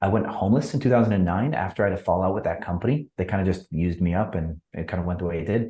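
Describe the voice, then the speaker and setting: In an American accent, a man talks at a very fast pace with hardly any pauses, his very deep, low voice dark, mellow and somewhat breathy, with ordinary pitch variation. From US Midwest, Wisconsin. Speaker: entrepreneur. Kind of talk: podcast interview.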